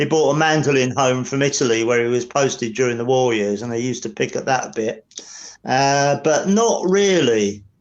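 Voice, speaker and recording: At a moderate pace, a man with an Essex accent talks at a medium pitch with ordinary pitch variation. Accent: southern English (Essex). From Essex, England. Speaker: drummer. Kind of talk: interview. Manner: halting.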